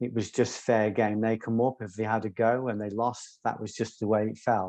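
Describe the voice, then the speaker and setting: Against a quiet background, a man speaks at a moderate pace in a medium pitch with monotone, flat intonation. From English Midlands, Coventry. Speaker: self-defense author and former doorman. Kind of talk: interview. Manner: articulate.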